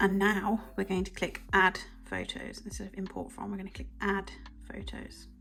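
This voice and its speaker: Music plays in the background as a woman talks at a moderate pace. Her loudness swings widely. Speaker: digital planner seller and tutorial maker. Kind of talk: tutorial. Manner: casual, chatty.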